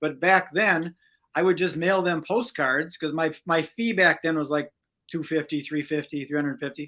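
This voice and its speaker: Here a man with an American accent talks at a moderate pace in a bright, sharp tone, at a fairly high pitch with ordinary variation. The recording is very clean, with a silent background. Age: 60s. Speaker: magician and entrepreneur. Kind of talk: interview.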